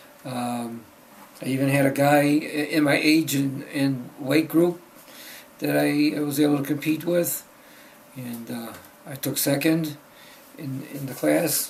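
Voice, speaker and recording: A man with a fairly high pitch talks at a very slow pace in a monotone, flat intonation, leaving long, frequent pauses, with big swings in loudness and noticeable background noise. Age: 70s. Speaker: powerlifter. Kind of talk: casual talk to camera.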